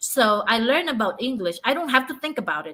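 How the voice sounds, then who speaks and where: A woman's raised, projected voice, high-pitched with a bright, sharp tone, moves at a moderate pace with lively intonation. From Philippines, Cebu. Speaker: livestreamer and small business owner. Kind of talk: live stream reading and commentary. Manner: halting.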